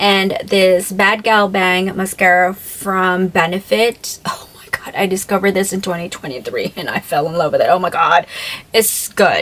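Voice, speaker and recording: A voice that jumps sharply between loud and soft, heard over noticeable background noise. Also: woman, medium pitch for a woman, moderate pace. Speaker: beauty vlogger. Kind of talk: product review vlog. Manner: animated.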